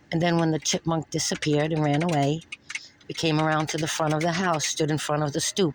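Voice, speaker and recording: Here a woman speaks in a New York accent. Her pitch is very deep and low, and her pace is moderate. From New York (Brooklyn). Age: 60s. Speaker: retired nurse reporting an assault. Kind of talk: police report interview.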